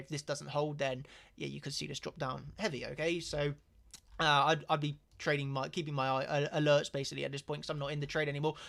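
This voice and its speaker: Monotone, flat intonation at a very fast pace. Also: man. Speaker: trading educator. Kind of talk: live stream lesson.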